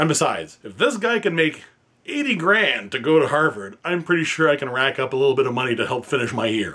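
At a fairly quick pace, a man speaks at a fairly high pitch with very wide pitch swings. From Northern Ontario, Canada; Ontario, Canada. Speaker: PhD student in history. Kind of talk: fundraising appeal. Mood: earnest, slightly humble.

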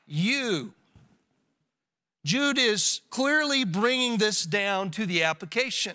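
In a quiet background, a man uses a raised, projected voice with a bright, sharp tone at a very slow pace. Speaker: pastor. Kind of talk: sermon. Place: church. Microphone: podium.

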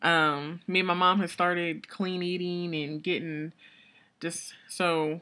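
Fairly low in pitch, a woman speaks with a bright, sharp tone and fairly even intonation. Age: 20s. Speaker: beauty vlogger. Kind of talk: casual vlog update. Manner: rambling, hesitant with many fillers. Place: home room. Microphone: webcam.

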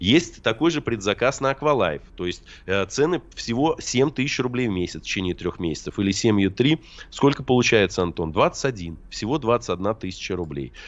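His pitch swings very widely as the man talks. The tone is animated, the pace moderate. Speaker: sales representative for water ionizers; radio guest. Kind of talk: radio sales pitch. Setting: remote line into radio studio. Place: studio. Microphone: studio mic.

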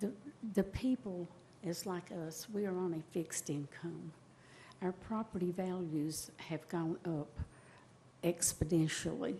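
A woman speaks with a fairly low pitch and a dark, mellow, somewhat breathy tone. Her pace is fairly slow and her pitch varies in an ordinary way. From East Tennessee (Bristol). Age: 70s. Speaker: retired resident, public commenter. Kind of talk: public comment plea. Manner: halting, repeating words; pleading, emotional.

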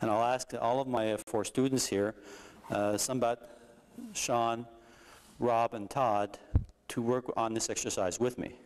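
A man's voice, with ordinary pitch variation, proceeds at a moderate pace. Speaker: martial arts instructor. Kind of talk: tutorial. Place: hall.

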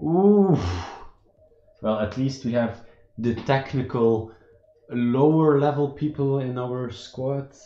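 At a very slow pace, a man with a Dutch accent speaks at a medium pitch with ordinary pitch variation and long, frequent pauses. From Belgium. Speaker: gaming streamer. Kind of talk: live gameplay commentary. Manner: animated; halting.

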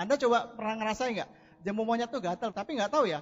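There is noticeable background noise behind a man whose voice sits high in pitch. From Indonesia, Medan (North Sumatra). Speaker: network marketing distributor. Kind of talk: motivational testimony on stage.

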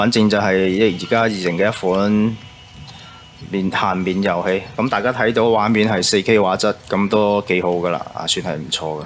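Noticeable background noise runs under this recording. A man speaks in a fairly low voice with fairly even intonation. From Guangzhou, China. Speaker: game streamer. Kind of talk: casual game commentary.

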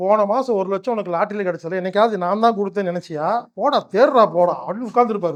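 A man speaks in a high voice with ordinary pitch variation. His tone is animated. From Tamil Nadu, Coimbatore. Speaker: spiritual healer and motivational speaker. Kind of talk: motivational talk.

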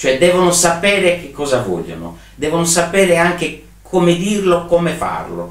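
Against audible room echo, a man talks at a fairly slow pace. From Sardinia, Alghero; Sardinia. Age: 60s. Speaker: trade fair and event organizer; interviewee. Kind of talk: interview. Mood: reflective, animated at times. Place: home room.

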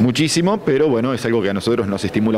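The speech comes at a very fast pace with ordinary pitch variation. Light background noise is present. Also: man. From Argentina, Buenos Aires. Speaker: oncologist. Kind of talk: news interview. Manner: halting, with frequent repetitions. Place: hall. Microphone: handheld.

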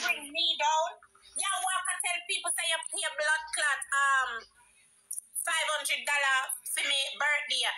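Her voice is raised and projected as she talks. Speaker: live streamer. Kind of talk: heated live stream rant. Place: home room. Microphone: phone near.

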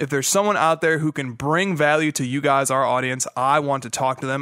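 A man speaks fairly quickly with a bright, sharp tone and fairly even intonation. The sound is dry with no echo, and the background is quiet. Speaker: podcast host. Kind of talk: podcast announcement. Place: home room. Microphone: studio mic.

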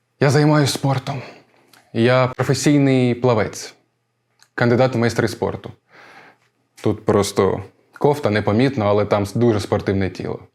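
A man's medium-pitched voice at a moderate pace, with ordinary pitch variation and long, frequent pauses. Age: 20s. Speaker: stage actor. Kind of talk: actor self-presentation.

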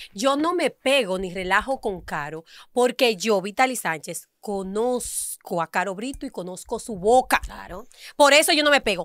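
The voice moves through very wide pitch swings at a fairly slow pace. The sound is dry with no echo, over a quiet background. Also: woman, fairly high pitch for a woman. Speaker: radio show panelist; radio panelist. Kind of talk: heated debate. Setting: radio studio, live on camera. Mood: indignant, defensive. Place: studio. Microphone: studio mic.

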